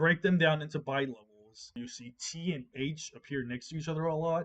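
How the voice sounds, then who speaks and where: A man with an ordinary speaking voice talks at a fairly high pitch and a moderate pace, his intonation fairly even but his loudness swinging widely. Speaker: programming tutorial creator. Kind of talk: tutorial.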